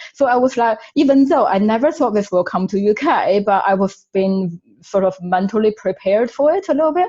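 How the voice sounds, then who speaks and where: With a Chinese accent, a woman talks in a dark, mellow tone with lively intonation. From China. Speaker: webinar panellist. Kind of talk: webinar panel discussion.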